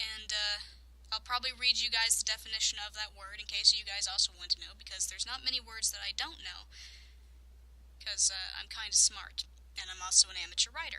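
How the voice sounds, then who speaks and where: A quiet woman talks at a fairly quick pace, her loudness swinging widely. Noticeable background noise is present. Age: young. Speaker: let's play gamer. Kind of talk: casual talk to camera.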